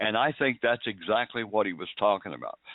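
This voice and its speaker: Ordinary pitch variation marks this man's moderately paced speech. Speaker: radio talk show host. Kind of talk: closing remarks on talk show. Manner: well-spoken.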